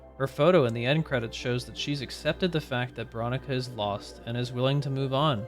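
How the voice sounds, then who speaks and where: Over music in the background, a man talks fairly quickly at a medium pitch. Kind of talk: video game lore narration. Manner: chill.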